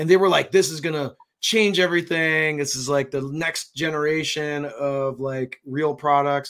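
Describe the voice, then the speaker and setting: A man's plain, everyday voice at a fairly high pitch, moderate pace, fairly even intonation and hardly any pauses. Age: 40s. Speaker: fishing content creator. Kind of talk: casual chat.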